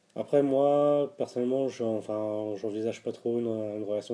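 Here a man speaks at a moderate pace and a medium pitch. His intonation is fairly even. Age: 30s. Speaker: interviewee sharing personal testimony. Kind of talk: personal testimony interview. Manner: hesitant, with frequent fillers and repetitions.

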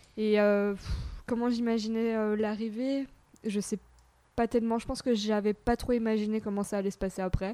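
A woman with a fairly high pitch and a dark, mellow tone speaks in a monotone, flat intonation at a moderate pace, leaving long, frequent pauses. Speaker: mother of a toddler. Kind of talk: casual chat. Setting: home recording in host's apartment.

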